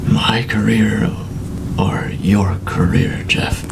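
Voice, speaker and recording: A man's whispered, put-on character voice at a very slow pace, over loud background noise. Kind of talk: film noir dialogue. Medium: short film. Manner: terse, brooding.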